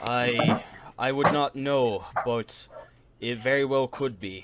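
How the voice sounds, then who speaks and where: Using a put-on character voice, a man of medium pitch speaks at a very slow pace. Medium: actual play. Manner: terse, cryptic.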